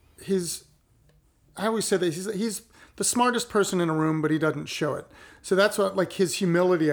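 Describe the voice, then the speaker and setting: Ordinary pitch variation marks a man's fairly quick speech. The recording is very clean, with a silent background. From Ohio, US Midwest. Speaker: painter. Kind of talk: casual chat.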